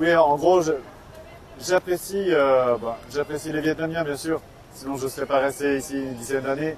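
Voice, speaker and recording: A fairly high-pitched man over noticeable background noise. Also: fairly even intonation, moderate pace. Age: 40s. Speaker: author. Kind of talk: interview. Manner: hesitant, many fillers.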